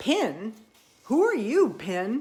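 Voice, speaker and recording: A woman's put-on character voice, high-pitched, with very wide pitch swings. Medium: read story.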